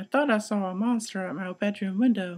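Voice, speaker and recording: A put-on character voice, fairly high in pitch, at a fairly quick pace. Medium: read story. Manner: timid, gentle.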